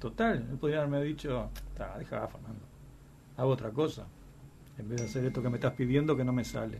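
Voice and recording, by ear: A man with a medium pitch talks at a fairly quick pace, showing ordinary pitch variation. His tone is slightly mellow, with some vocal fry.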